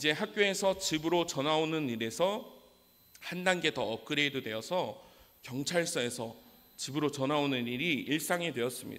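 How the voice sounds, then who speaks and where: A man speaks at a moderate pace in an ordinary speaking voice. His pitch is fairly high and his intonation lively. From South Korea, Daegu (Gyeongsang region). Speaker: preacher. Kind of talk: sermon with personal testimony. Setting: church.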